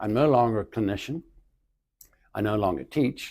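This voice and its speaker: At a fairly quick pace, a man speaks in a medium pitch with a dark, mellow tone. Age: 80s+. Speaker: retired physical therapist and educator. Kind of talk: interview.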